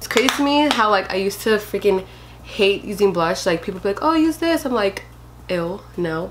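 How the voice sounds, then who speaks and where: Against noticeable background noise, a woman speaks with lively intonation at a medium pitch. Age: 20s. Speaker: beauty youtuber. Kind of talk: tutorial.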